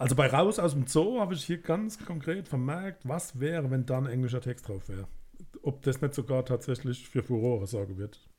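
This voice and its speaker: A man speaks at a moderate pace in a somewhat breathy voice with lively intonation. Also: medium pitch for a man. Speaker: music podcast co-host. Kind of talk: casual chat.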